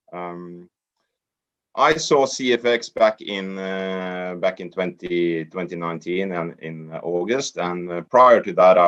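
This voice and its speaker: A man's very deep, low voice at a fairly slow pace, with ordinary variation in pitch. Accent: Norwegian. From Norway. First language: Norwegian. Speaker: network marketer. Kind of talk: training presentation. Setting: online group call.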